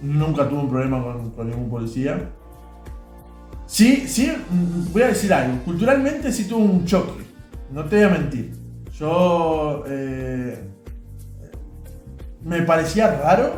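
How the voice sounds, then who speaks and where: Over music in the background, a man with a Rioplatense accent speaks at a very slow pace in a fairly high voice, with very wide pitch swings and long, frequent pauses. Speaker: podcaster. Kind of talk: casual podcast talk.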